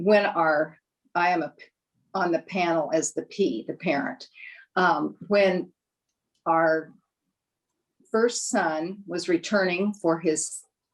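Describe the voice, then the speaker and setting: Speaking at a very slow pace with long, frequent pauses, a woman with an American accent uses a fairly low pitch and ordinary pitch variation. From Nebraska, US Midwest. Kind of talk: panel discussion. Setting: virtual panel.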